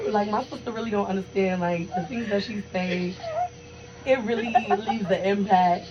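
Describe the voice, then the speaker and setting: Speech comes at a moderate pace. Noticeable background noise can be heard. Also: woman, medium pitch for a woman. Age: 20s. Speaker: podcast co-host. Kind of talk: casual chat. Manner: animated.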